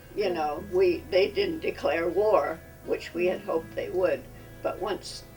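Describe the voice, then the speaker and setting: Against background music, a woman delivers her words at a fairly slow pace. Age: 80s+. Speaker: WWII-era civilian, former Red Cross worker. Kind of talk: interview answer.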